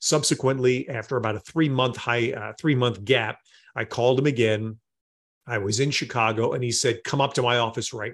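A man with a normal speaking voice and an American accent talks at a moderate pace with fairly even intonation over a quiet background. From New York area. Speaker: sports play-by-play announcer. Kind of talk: interview.

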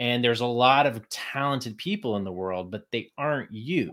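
A man with an American accent, medium pitch and lively intonation at a moderate pace, a plain, everyday voice, in a very clean recording with a silent background. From Texas. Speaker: Broadway performer and creative life coach. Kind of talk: casual interview chat.

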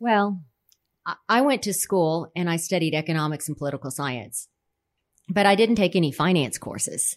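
A woman with a normal speaking voice and an American accent talks at a moderate pace, with a fairly low pitch and lively intonation. The recording is very clean, with a silent background. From Texas, San Antonio (Alamo Heights). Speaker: real estate company president. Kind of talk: casual interview.

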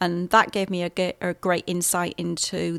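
A woman with a British accent, fairly low in pitch, at a fairly slow pace and in a monotone, flat intonation, in a very clean recording with a silent background and dry, close sound with no echo. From England. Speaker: CEO and registered nurse, podcast host. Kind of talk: scripted intro then casual talk about own background.

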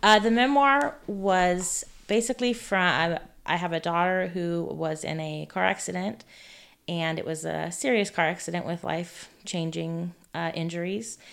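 Someone with an American accent has an unremarkable speaking voice with ordinary pitch variation and a moderate pace. The recording is very clean, with a silent background. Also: woman, fairly low pitch for a woman. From California. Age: 40s. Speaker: author. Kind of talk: interview.

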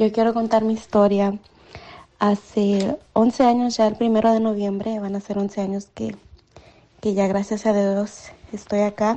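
A woman's medium-pitched voice with a monotone, flat intonation at a fairly slow pace. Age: 20s. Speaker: listener sending voice message. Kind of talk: testimony.

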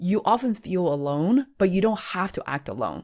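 In a very clean recording with a silent background, a woman with a normal speaking voice talks at a moderate pace with lively intonation and a fairly low pitch. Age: 30s. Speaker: podcaster and content creator. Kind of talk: interview.

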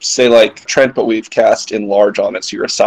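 Someone is reading aloud in a natural voice. That is the whole clip.

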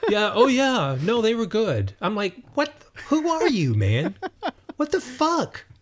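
A man with an American accent speaks at a fairly slow pace in an extremely high pitch, swinging very widely. Noticeable background noise runs underneath. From North Carolina mountains. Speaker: musician and writer. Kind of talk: casual interview.

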